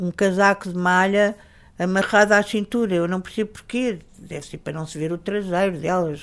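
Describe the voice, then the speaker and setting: On a very clean recording with a silent background, a woman with a Lisbon accent speaks at a medium pitch in a monotone, flat intonation. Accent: European Portuguese (Lisbon). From Portugal, Lisbon. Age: 70s. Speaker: writer and journalist. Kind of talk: interview. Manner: hesitant, with repetitions.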